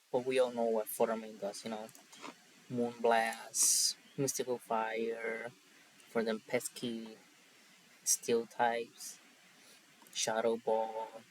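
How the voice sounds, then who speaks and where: In a Spanish accent, a man speaks at a very slow pace with long, frequent pauses. His medium-pitched voice is monotone and flat, over noticeable background noise. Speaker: Pokemon draft league player. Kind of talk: casual commentary.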